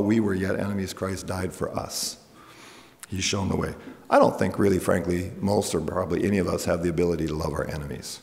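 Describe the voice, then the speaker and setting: A man with a Canadian accent talks very fast in a fairly low voice over noticeable background noise. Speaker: pastor. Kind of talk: sermon. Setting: church.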